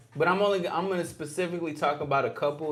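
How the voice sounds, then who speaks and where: Over audible room echo, a man talks at a very fast pace. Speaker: livestream host. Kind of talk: casual livestream talk.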